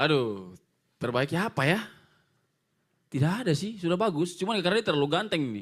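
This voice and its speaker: A man with a Papuan accent talks at a very fast pace, his pitch swinging very widely. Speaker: kickboxing fighter. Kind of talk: press conference.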